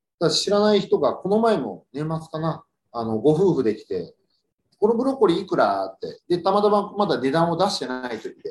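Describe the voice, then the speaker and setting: High pitch from a man, moving at a moderate tempo, with very wide swings in pitch. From Yokohama, Japan. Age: 40s. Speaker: farmer. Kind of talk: casual radio interview.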